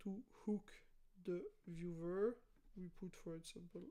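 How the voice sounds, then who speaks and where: A woman's medium-pitched voice, dark and mellow in tone, at a fairly slow pace with fairly even intonation. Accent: non-native. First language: not English. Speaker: YouTuber, former developer. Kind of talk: tutorial. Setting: live stream.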